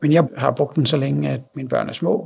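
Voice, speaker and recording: This man speaks with a fairly high pitch and a somewhat breathy quality. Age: 30s. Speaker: blind father. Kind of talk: interview. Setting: on location.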